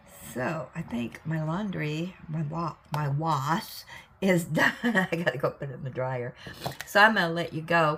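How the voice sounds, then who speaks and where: A woman with an American accent and fairly low pitch, big swings in loudness and noticeable background noise. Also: ordinary pitch variation. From US Pacific Northwest, Salem, Oregon. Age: old. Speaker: crafting video host. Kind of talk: casual chat. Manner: casual, rambling with fillers.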